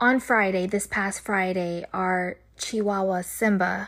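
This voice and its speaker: In a very clean recording with a silent background, a woman speaks at a very slow pace. Her medium-pitched voice stays monotone and flat. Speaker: podcast co-host. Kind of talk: casual chat.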